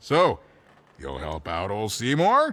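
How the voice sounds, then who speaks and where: A man's put-on character voice on a very clean recording with a silent background. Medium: video game. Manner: self-deprecating, rambling.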